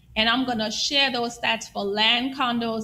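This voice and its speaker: A woman's bright, sharp tone at a fairly high pitch. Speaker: real estate agent. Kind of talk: market report presentation on live stream. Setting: live stream with screen share.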